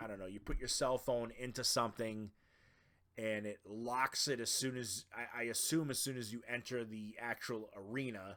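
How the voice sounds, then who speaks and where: In a very clean recording with a silent background, a man with a Boston accent talks at a moderate pace, his medium pitch held in fairly even intonation. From Boston, Massachusetts. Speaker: podcast host. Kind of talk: casual podcast monologue. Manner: casual, filler-heavy.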